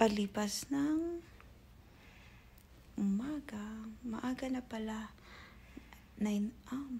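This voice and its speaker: A soft-spoken woman talks at a very slow pace. Her pitch is fairly high, with ordinary variation. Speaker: vlogger. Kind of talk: casual vlog. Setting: at home on couch. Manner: soft-spoken, lowered voice.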